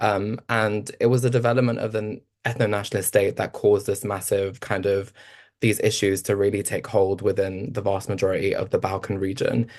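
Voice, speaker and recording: Over a quiet background, a man with a London accent talks at a fairly quick pace, his fairly low voice monotone with flat intonation. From East London. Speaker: researcher and panelist. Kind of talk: panel discussion. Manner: halting, many fillers.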